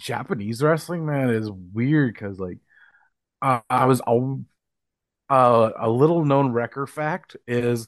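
Speech comes at a fairly slow pace in an Upper Midwest accent. The background is quiet. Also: man. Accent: Upper Midwest American. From northwestern Minnesota. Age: 30s. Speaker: professional wrestler and wrestling promoter. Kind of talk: casual interview chat. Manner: halting, many fillers.

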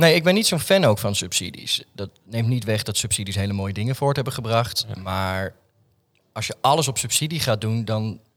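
A man with an unremarkable speaking voice talks at a medium pitch and moderate pace with lively intonation, on a very clean recording with a silent background. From Netherlands, Alphen aan de Rijn (South Holland). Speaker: artist and theatre maker. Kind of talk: casual interview chat. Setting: studio in an office building.

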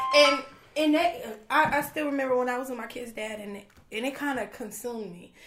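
Audible room echo surrounds a woman with a high pitch who talks at a fairly quick pace with ordinary pitch variation. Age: 30s. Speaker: business owner. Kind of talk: casual chat.

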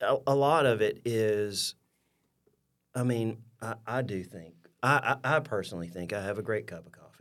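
Speaking with an Alabama accent, a man talks at medium pitch and a moderate pace. His intonation is lively, and the recording is very clean with a silent background. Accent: Southern US (Alabama). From US South, rural southeast Alabama. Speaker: coffee shop owner. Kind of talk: interview. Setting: studio. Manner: animated.

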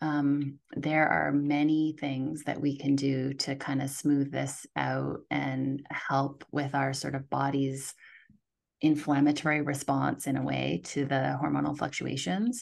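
Against a quiet background, a woman with vocal fry speaks at a fairly slow pace in a very deep, low voice with fairly even intonation. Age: middle-aged. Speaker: naturopathic doctor. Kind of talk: interview.

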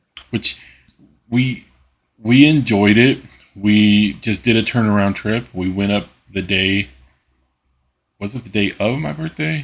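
A man with a fairly low voice speaks at a fairly slow pace with ordinary pitch variation. He leaves long, frequent pauses. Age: 30s. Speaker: podcast co-host, father. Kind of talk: casual chat.

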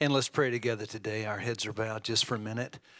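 A man speaks in an ordinary speaking voice at medium pitch. His pitch varies in an ordinary way, and the recording is very clean with a silent background. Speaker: church leader closing in prayer. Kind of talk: closing prayer. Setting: church.

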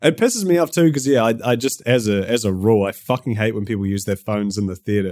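A man with a New Zealand accent at a very fast pace, hardly any pauses, in a dry, close sound with no echo. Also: medium pitch for a man, ordinary pitch variation. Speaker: YouTuber. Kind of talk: casual chat.

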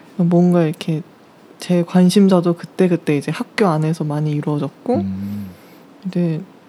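A woman with a fairly low pitch speaks with lively intonation over noticeable background noise. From South Korea. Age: 20s. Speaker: university student on leave, cafe worker. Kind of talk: interview. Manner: slow; hesitant.

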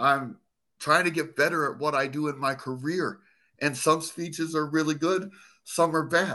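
Against a quiet background, a man with an American accent and a bright, sharp tone speaks at a moderate pace, fairly high in pitch and with fairly even intonation. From Arizona. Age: 50s. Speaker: former police officer, burn survivor and motivational speaker. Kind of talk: casual interview conversation. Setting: video call.

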